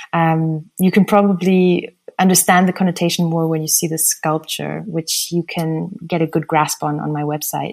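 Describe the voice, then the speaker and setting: A woman talks at a moderate pace in a fairly low pitch, with hardly any pauses and a monotone, flat intonation. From raised internationally (Switzerland, Italy, Germany, USA, Austria). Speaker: artist and architect. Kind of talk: interview.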